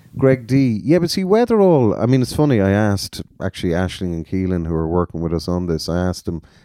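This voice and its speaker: A man with an Irish accent talks at a very fast pace, his pitch swinging very widely. His tone is dark and mellow, on a very clean recording with a silent background. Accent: Irish (Galway). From Galway, Ireland. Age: 40s. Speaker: music promoter. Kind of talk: interview.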